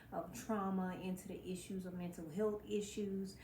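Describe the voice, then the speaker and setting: A woman talks at a moderate pace and medium pitch, with fairly even intonation. Audible room echo is present. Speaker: mental health vlogger. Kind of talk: motivational talk to camera. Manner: stumbles over words.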